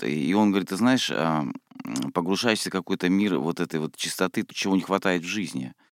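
Close and dry with no echo, a man's very deep, low voice moves at a moderate pace with ordinary pitch variation. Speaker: radio host. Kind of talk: radio interview. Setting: radio studio.

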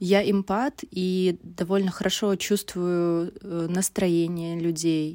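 On a very clean recording with a silent background, a woman speaks very slowly at a fairly low pitch in a monotone, flat intonation. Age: 30s. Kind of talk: recorded monologue. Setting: hotel room in a forest resort, sitting on the floor.

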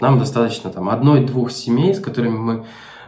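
Audible room echo and noticeable background noise surround a man speaking at medium pitch with ordinary pitch variation. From Ukraine, Melitopol. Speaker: remote marketing specialist. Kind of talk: interview.

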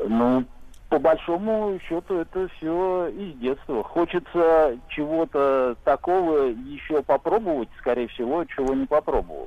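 This man talks very slowly, his fairly high pitch carrying lively intonation. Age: 40s. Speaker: caller. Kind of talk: casual chat. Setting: phone call.

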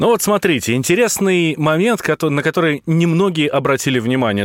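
At a moderate pace, a man with a fairly high pitch moves through very wide pitch swings. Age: 30s. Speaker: radio host. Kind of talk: radio discussion.

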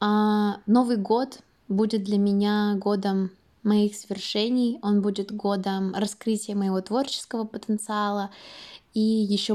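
A woman's voice at medium pitch, dark and mellow, in a flat monotone. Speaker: student and artist. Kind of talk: recorded monologue.

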